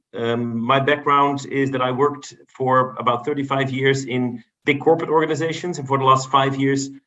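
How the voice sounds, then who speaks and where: A man with a Dutch accent, medium in pitch, at a moderate pace, in a monotone, flat intonation. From Netherlands. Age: 50s. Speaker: business executive and board member. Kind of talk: podcast interview. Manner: halting, many repetitions.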